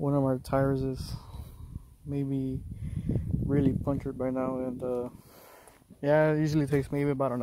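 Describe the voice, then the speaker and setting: The sound is dry with no echo as a man speaks at a moderate pace in a flat, monotone way. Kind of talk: casual vlog chat. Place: open country. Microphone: phone near.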